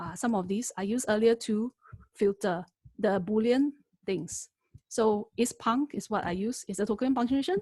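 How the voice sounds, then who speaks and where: Her dark, mellow tone somewhat breathy, a woman speaks at a fairly high pitch with ordinary pitch variation in a dry, close sound with no echo. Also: moderate pace. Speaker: lecturer teaching AI. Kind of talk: webinar tutorial. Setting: online webinar.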